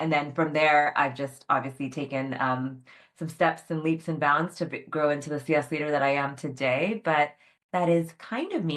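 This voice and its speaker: A woman speaks at a moderate pace in a very deep, low pitch. The background is quiet. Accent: American. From California. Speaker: customer success leader. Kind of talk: panel interview.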